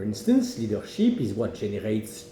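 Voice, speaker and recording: The speaker has a French accent, very wide pitch swings and a moderate pace. Noticeable background noise and audible room echo fill the recording. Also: man. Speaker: management academic. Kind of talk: opinion monologue.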